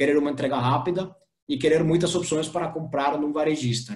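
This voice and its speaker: The speaker talks with a Colombian accent. The voice is somewhat breathy. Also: man. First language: Spanish (speaking Portuguese). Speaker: e-commerce professional. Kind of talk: presentation with slides.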